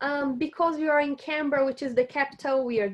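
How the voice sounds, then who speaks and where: Speaking in a Portuguese accent, a woman uses a high pitch with ordinary pitch variation. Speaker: university staff presenter. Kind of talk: online seminar presentation. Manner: casual, with many fillers and repetitions.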